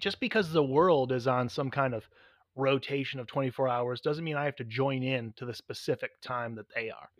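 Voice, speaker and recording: Delivered at a fairly quick pace, an ordinary speaking voice comes through with a dry, close sound and no echo. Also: man. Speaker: podcast co-host. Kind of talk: casual banter. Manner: joking, bantering.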